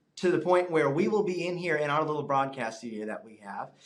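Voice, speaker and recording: A man's animated tone with very wide pitch swings, amid audible room echo. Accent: American. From US South, Alabama Gulf Coast (Fairhope). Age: 20s. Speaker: meteorology student. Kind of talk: interview.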